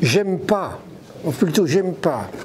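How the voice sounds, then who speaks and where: The recording has noticeable background noise and audible room echo. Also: man. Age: 70s. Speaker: coach and conference speaker. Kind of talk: live conference talk. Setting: stage with audience. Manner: halting, many repetitions.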